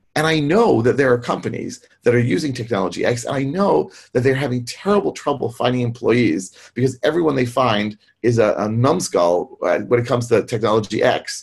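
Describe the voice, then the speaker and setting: With an American accent, a man talks at a fairly quick pace and medium pitch. His voice is somewhat breathy, with lively intonation. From US. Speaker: technical trainer and consultant. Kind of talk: online presentation and Q&A. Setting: video call, webinar.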